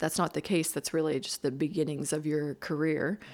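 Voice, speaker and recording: With a Maritime Canadian accent, the speaker keeps a fairly even intonation on a very clean recording with a silent background. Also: woman. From Nova Scotia, Canada (Bridgewater). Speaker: architect. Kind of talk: interview. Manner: hesitant, with fillers and restarts.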